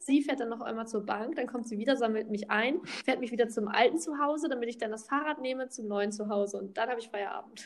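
A woman speaks at a very fast pace with hardly any pauses. Her pitch is fairly high, with ordinary variation. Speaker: podcast co-host. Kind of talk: casual chat. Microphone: echo in empty room.

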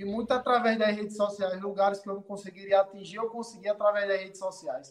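A man's high-pitched voice at a very fast pace, fairly even in intonation, with hardly any pauses. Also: big swings in loudness. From Rio Grande do Norte, Brazil. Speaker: city councillor. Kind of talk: casual interview.

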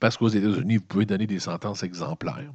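In a Quebec accent, a man talks at a fairly low pitch. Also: quiet background. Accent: Québécois French. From Quebec (Montreal). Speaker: news commentator. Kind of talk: solo news commentary monologue. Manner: casual, conversational.

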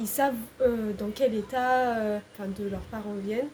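Monotone, flat intonation marks this woman's fairly high voice. She keeps a moderate pace. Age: 20s. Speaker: civic service volunteer at an NGO. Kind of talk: casual interview.

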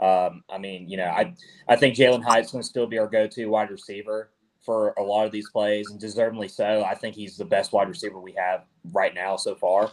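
A man talks at a fairly quick pace in an unremarkable speaking voice. His pitch is fairly low with ordinary variation, and his loudness swings a lot. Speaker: podcast co-host. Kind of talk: casual sports banter.

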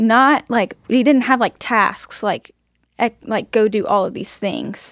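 Speaking at a fairly slow pace, a woman with a fairly high pitch, ordinary pitch variation and vocal fry is captured in a very clean recording with a silent background and a dry, close sound with no echo. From Texas, Houston area (Huffman). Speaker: nursing student. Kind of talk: casual interview, testimony.

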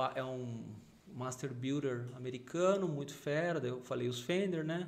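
Audible room echo is present as a man talks. His medium pitch shows ordinary variation at a fairly slow pace. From São Paulo, Brazil. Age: 40s. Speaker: gospel rock bassist. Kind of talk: casual chat.

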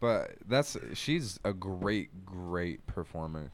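Very deep and low in pitch, a man talks with an American accent. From Portland, Oregon. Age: 20s. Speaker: musician. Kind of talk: casual chat.

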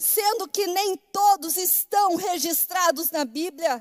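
A woman speaks with an extremely high pitch. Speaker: pastor. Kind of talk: sermon. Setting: church.

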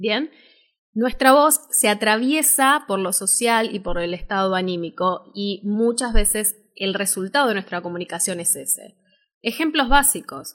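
An Argentine accent at a fairly slow pace, lively intonation and big swings in loudness, on a very clean recording with a silent background. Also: woman, fairly high pitch for a woman. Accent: Rioplatense Argentine Spanish. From Argentina, Buenos Aires. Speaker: voice-over artist and speaking teacher. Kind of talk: live-stream workshop talk. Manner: animated.

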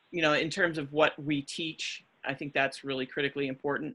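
A woman with an American accent and a very deep, low pitch, her tone bright and sharp, her intonation fairly even, in a very clean recording with a silent background. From New Jersey. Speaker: physical education professor. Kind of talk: casual interview.

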